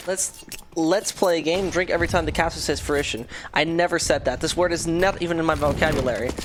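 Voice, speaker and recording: A woman at a very fast pace, fairly low in pitch, with very even loudness over noticeable background noise. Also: ordinary pitch variation. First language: not English. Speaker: esports caster. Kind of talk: live commentary.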